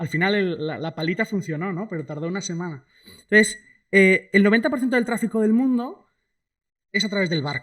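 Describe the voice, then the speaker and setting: A man with a high pitch and lively intonation talks at a fairly quick pace in a very clean recording with a silent background. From Spain, Asturias (Cangas del Narcea). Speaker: economist, guest speaker. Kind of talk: lecture. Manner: fast; casual, many fillers.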